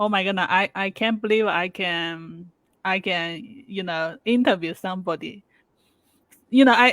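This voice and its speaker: At a moderate pace, the voice comes through on a very clean recording with a silent background and a dry, close sound with no echo. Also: woman. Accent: non-native. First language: not English. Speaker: interviewer. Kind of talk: interview. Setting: live video stream. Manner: halting, repeats words.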